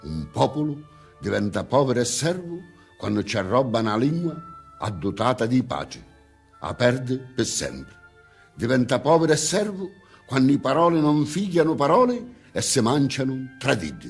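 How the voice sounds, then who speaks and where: A medium-pitched man with a Sicilian accent and lively intonation, at a moderate pace with long, frequent pauses and music in the background. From Sicily. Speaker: poet. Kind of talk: poetry reading.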